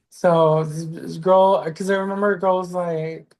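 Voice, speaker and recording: This woman's voice sits at a medium pitch. She speaks with an American accent. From southeast Texas. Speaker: stand-up comedian. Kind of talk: casual chat.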